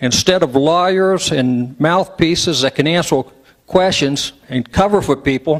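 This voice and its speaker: This man has a high voice and an American accent. He talks at a fairly slow pace with ordinary pitch variation. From West Virginia. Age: 60s. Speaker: public commenter at a meeting. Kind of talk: public comment speech. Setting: public meeting hall with microphone.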